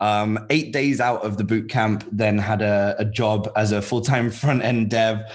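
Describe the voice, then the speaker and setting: A man's fairly low voice at a fairly slow pace with hardly any pauses, fairly even intonation and audible room echo. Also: very even loudness. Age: 30s. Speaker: web developer and founder of a learning platform. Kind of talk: casual interview chat.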